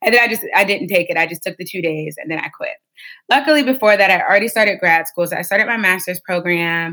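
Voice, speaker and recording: Speaking at a very fast pace, a woman with an American accent has a medium pitch, a bright, sharp tone and lively intonation. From Ohio, US (Warren). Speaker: nonprofit director. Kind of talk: interview.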